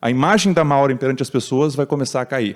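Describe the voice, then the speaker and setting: A man speaks in a fairly high-pitched voice. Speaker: tech speaker at conference. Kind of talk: talk. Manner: fast.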